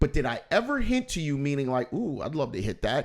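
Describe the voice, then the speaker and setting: Fairly quick delivery with very wide pitch swings, on a very clean recording against a silent background. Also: man. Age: 50s. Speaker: podcast host and comedian. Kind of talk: casual chat. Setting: studio. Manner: direct.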